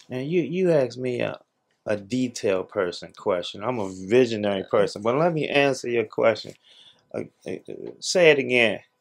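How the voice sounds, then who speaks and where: Over a quiet background, a man speaks at a moderate pace and a medium pitch. His intonation is lively. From Washington DC. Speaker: social entrepreneur and reparations commission member; guest. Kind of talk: interview. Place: home room.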